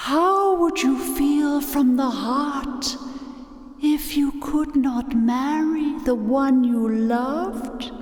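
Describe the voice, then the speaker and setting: Someone performs a put-on character voice at a very slow pace. A clear echo is heard. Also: female-sounding voice, high pitch for a woman. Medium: short film.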